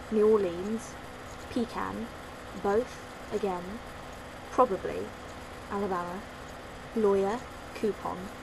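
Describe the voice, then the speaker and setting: Over noticeable background noise and audible room echo, a speaker with a London accent talks very slowly, with fairly even intonation and long, frequent pauses. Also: woman, medium pitch for a woman. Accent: British, London. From London, England. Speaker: vlogger. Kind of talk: casual vlog, accent challenge.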